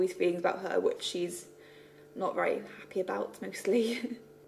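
At a moderate pace, a woman mumbles. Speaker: web series creator and writer. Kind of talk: casual talk to camera. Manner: a little mumbly. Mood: relaxed, reflective, a bit self-conscious. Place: home room. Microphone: phone near.

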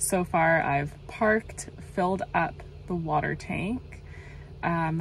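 Music plays behind a woman with a fairly low pitch. The sound is dry, with no echo. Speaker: van life vlogger. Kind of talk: casual vlog chat. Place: car. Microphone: phone near.

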